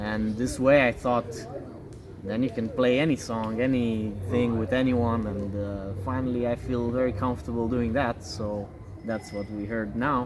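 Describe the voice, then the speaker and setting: A speaker with a Romanian accent talks at a moderate pace with fairly even intonation over noticeable background noise. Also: man, medium pitch for a man. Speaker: pianist and games programmer. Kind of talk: interview.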